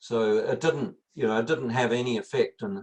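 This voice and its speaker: Speaking at a moderate pace with a New Zealand accent, a man's voice sounds somewhat breathy. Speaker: climate scientist. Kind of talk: Q&A interview. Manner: halting, many fillers.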